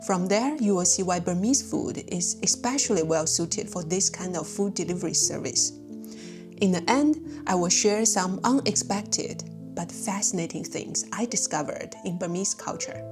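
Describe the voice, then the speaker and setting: Over music in the background, a woman with a non-native accent talks at a moderate pace with hardly any pauses. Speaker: food and culture video host. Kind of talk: documentary-style narration.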